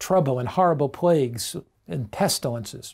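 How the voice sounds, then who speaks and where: A man at a fairly slow pace, with very wide pitch swings and a quiet background. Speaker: pastor, preacher. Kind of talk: sermon, religious teaching. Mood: calm, earnest, reassuring. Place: home room. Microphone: lapel.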